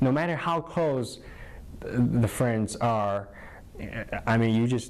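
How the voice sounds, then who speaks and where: Speaking very slowly with a Chinese accent, a man keeps a medium pitch, very even loudness and ordinary pitch variation. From northern China. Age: 20s. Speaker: college alumnus. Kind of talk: interview. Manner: halting, many fillers.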